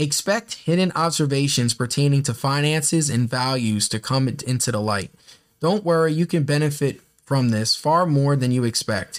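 A man with a normal speaking voice talks at a moderate pace, using a fairly high pitch with ordinary variation and very even loudness. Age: 20s. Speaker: podcast host. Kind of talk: casual monologue; horoscope reading. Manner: rambling, filler-heavy (um, like).

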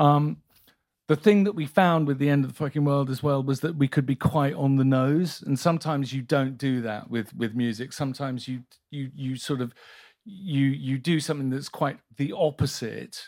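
On a very clean recording with a silent background, a man with a British accent and a fairly high pitch talks at a moderate pace with ordinary pitch variation. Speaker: music supervisor. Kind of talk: casual interview chat on stage. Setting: live event with audience.

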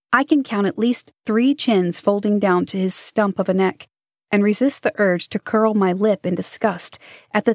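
In a quiet background, the voice is a natural reading voice.

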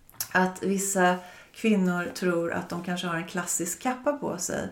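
A woman talks at an even, moderate speed, with noticeable noise in the background. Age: 50s. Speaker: fashion buyer. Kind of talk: casual interview.

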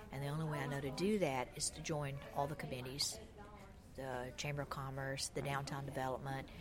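This woman speaks fairly quickly with a Southern US accent, her voice very deep and low. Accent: Southern US (Georgia). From US South, Georgia. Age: 60s. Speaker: shop owner. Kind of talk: interview.

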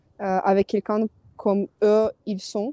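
Her voice is fairly high-pitched with a dark, mellow tone, delivered very slowly by a woman in a dry, close recording with no echo. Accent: Ukrainian. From Ukraine. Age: 20s. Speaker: advertising producer. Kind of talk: testimony. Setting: phone call. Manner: halting.

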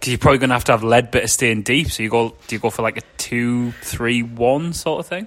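A man talks at a fairly quick pace in a normal speaking voice, with hardly any pauses. His pitch is medium and his intonation fairly even. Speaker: podcast host. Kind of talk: casual banter, football podcast.

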